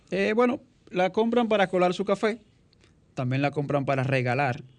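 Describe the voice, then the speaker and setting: Over a quiet background, a man with a high pitch speaks at a moderate pace with very wide pitch swings. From Dominican Republic, rural countryside. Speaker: artisan coffee-maker and webmaster. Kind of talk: radio interview. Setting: studio.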